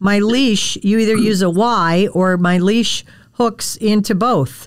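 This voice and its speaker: Speaking very slowly with an American accent, a woman keeps her loudness very even, her pitch medium and her pitch variation ordinary. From Wisconsin, US Midwest. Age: 60s. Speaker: podcast host, dog trainer. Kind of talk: casual interview chat.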